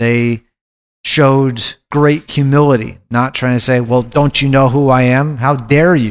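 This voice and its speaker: A man talks at a fairly slow pace with medium pitch, fairly even intonation and very even loudness. It is a plain, everyday voice. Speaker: Bible study co-leader. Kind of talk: group Bible study discussion.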